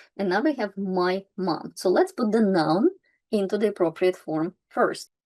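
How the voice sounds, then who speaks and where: With a dark, mellow tone and medium pitch, a woman speaks fairly slowly using lively intonation. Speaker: language teacher. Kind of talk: tutorial. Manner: slow, step by step.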